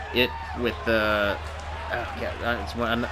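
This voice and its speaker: Over noticeable background noise, a man talks in a fairly low pitch with lively intonation. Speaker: gaming commentator. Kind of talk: wrestling game commentary. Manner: casual, playful.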